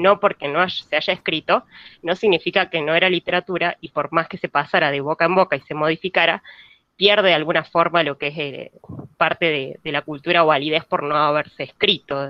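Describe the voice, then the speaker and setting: A woman with a Buenos Aires accent, fairly low in pitch, at a fairly quick pace with fairly even intonation. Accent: Buenos Aires (porteño). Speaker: university student. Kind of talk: class discussion comment. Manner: halting, many fillers.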